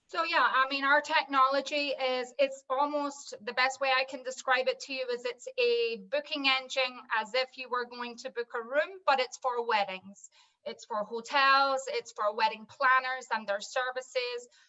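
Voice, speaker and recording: Speaking with a Scottish accent, a woman uses a high pitch, a moderate pace and fairly even intonation. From Scotland, Edinburgh. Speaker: wedding tech business owner. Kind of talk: video call panel discussion.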